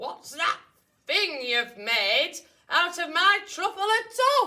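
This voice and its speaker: Shouting in a put-on character voice at an extremely high pitch, the speaker goes very slowly with very wide pitch swings. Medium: read story. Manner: bossy, shouting.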